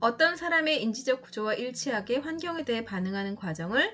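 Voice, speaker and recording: Bright and sharp in tone, a woman speaks at a fairly high pitch and a moderate pace with very wide pitch swings. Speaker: exam prep lecturer. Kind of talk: lecture.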